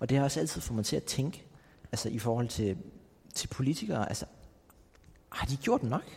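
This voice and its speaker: At a moderate pace, a man speaks with lively intonation and long, frequent pauses. His medium-pitched voice has vocal fry. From Greenland, Nuuk. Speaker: podcast host. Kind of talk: interview. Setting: cultural center in Nuuk. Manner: halting.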